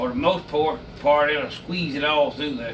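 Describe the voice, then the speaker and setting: There is light background noise. A man talks in an Alabama accent. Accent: Southern US (Alabama). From US South, Alabama. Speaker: hunting and cooking video host; cooking video host. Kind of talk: casual tutorial. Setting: indoor kitchen. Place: kitchen. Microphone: camera far.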